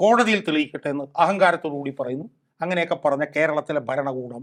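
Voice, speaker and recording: A man speaks against a quiet background. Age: 60s. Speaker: political activist and advocate. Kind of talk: talk show interview. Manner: animated.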